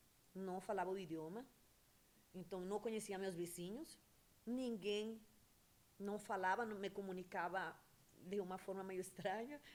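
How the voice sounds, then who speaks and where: With a Venezuelan accent, a woman speaks at a moderate pace in fairly even intonation, leaving long, frequent pauses. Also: medium pitch for a woman. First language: Spanish (speaking Portuguese). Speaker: entrepreneur, beautician. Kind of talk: interview. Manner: hesitant, with fillers.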